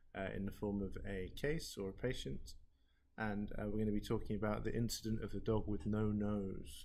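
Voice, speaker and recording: A man talks at a moderate pace in a fairly low pitch. His intonation stays fairly even, and room echo is audible. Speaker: learning technologist. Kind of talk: tutorial. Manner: monotone.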